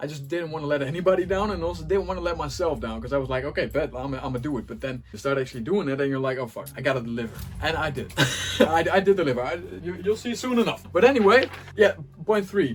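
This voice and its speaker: Over noticeable background noise, a man with a fairly high voice talks at a very fast pace in an animated tone, with very wide pitch swings and big swings in loudness. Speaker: music producer and DJ. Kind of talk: casual talk to camera. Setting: home studio. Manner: animated, halting with repetitions.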